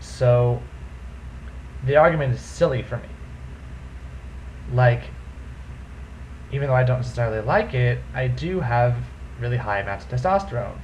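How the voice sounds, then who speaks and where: In a room with audible echo and noticeable background noise, a man speaks at a moderate pace with long, frequent pauses. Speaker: vlogger. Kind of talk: casual vlog monologue.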